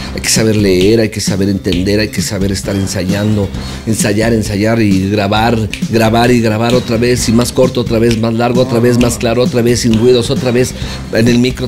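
Clear music plays in the background while a man speaks at a moderate pace with ordinary pitch variation. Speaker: voice actor. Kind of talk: interview answer. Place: home room.

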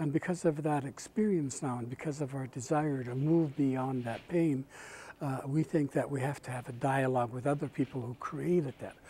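This man talks at a moderate pace in a dark, mellow tone. His voice is somewhat breathy. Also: fairly even intonation. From Canada, British Columbia First Nations. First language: Kwakwala. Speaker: First Nations chief and residential school survivor advocate. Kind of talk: speech at a peace event. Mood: calm, reflective, earnest. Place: hall. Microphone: lapel.

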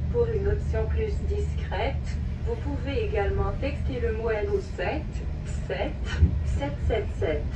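There is loud background noise. Through it, a woman speaks at a very slow pace. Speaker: recorded train announcer. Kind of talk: public announcement. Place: train.

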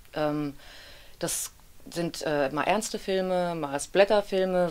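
A woman speaks at a very slow pace. Her pitch sits fairly low. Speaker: actress, audiobook narrator and dubbing voice actor. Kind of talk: interview answer. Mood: relaxed, smiling. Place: studio.

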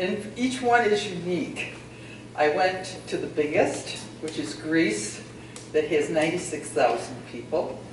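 A woman with a fairly low pitch talks at a very slow pace, her voice swinging very widely in pitch, with audible room echo and noticeable background noise. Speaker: retiree and town-appointed committee member. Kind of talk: public meeting remarks. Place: hall. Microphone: camera far.

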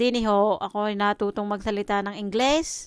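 A woman at a fairly quick pace, with a dry sound with no echo and a quiet background. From Philippines. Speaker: vlogger. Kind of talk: casual vlog monologue. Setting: at home. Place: home room. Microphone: phone near.

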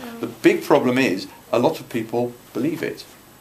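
Over light background noise, a man with a British accent speaks at a fairly quick pace in a medium pitch. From UK. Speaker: politician. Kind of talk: Q&A answer. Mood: mildly indignant, explanatory. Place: meeting room. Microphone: phone near.

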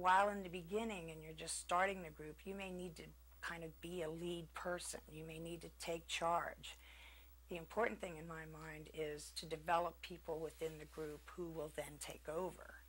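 A woman talks at a moderate pace, her loudness swinging widely. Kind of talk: interview answer. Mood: calm, reflective. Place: home room. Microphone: lapel.

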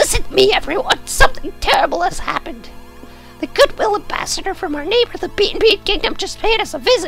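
Clear music plays behind a put-on character voice at an extremely high pitch. The squeaky delivery races along at a very fast pace.

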